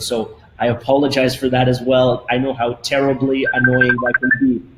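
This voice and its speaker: Noticeable noise behind a man talking fairly quickly. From Canada, Toronto. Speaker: company CEO. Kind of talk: webinar presentation. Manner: fast.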